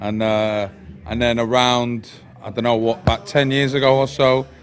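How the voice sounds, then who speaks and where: Speaking fairly quickly at a medium pitch, a man keeps a flat, monotone intonation over noticeable background noise. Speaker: rapper. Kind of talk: interview. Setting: tattoo parlour. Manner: hesitant, many fillers.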